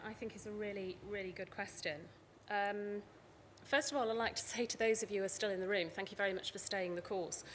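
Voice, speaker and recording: A woman's medium-pitched voice with a British accent, at a fairly quick pace with ordinary pitch variation. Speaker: conference speaker from a tech company. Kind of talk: conference talk.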